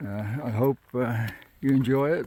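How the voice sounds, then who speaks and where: The delivery is relaxed in tone and fairly slow in pace. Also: man. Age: 60s. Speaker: hiking vlogger. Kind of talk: casual vlog narration. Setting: outdoors on a mountain trail. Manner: relaxed, hesitant with fillers.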